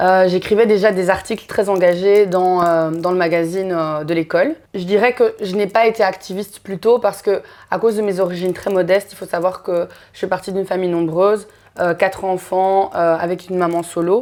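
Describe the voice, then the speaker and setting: With fairly even intonation, a woman of medium pitch talks at a fairly quick pace. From Belgium (Brussels), Congolese heritage. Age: 30s. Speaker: activist. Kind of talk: interview. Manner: hesitant, many fillers.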